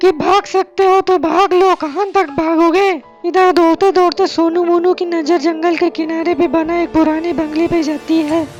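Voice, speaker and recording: In a cartoonish character voice at an extremely high pitch, the speaker talks over faint music in the background. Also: moderate pace. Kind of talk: horror narration for kids. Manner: dramatic, suspenseful.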